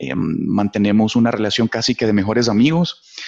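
Here a man talks with a Salvadoran accent. The sound is dry and close, with no echo. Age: 30s. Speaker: business director. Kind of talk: interview, life story.

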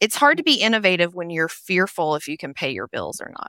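In a Tennessee accent, a woman with a bright, sharp tone and medium pitch speaks with lively intonation, in a dry, close sound with no echo on a very clean recording with a silent background. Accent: Southern US, Tennessee. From Nashville, Tennessee, US South. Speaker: human resources consultant. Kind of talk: interview conversation.

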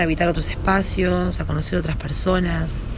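A woman talks fairly quickly, with audible room echo and music in the background. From Argentina, Córdoba sierras. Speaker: yoga and meditation teacher. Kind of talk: personal monologue / talk. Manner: casual, hesitant with fillers.

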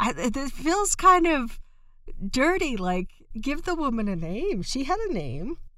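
Her voice is raised and projected, bright and sharp in tone, and high in pitch. The woman speaks at a fairly slow pace with very wide pitch swings. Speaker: folklore podcast co-host. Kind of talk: casual chat.

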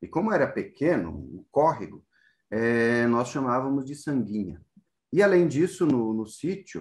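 A man talks at a fairly slow pace at a medium pitch, in a normal speaking voice. The background is quiet. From southern Brazil, interior of Rio Grande do Sul. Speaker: professor. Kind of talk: interview. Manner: frequent fillers, tag questions.

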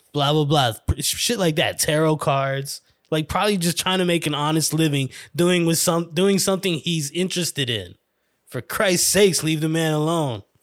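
On a very clean recording with a silent background, a man with a New York accent speaks at a moderate pace and fairly high pitch, with ordinary pitch variation. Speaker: podcast host. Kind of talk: casual solo monologue. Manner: rambling; animated.

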